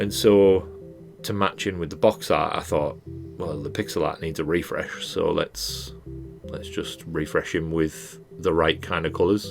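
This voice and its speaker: A man talks at a fairly slow pace with a very deep, low pitch and lively intonation. Music plays in the background. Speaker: game designer and pixel artist. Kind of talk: casual voiceover commentary on a speedpaint. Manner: casual, rambling.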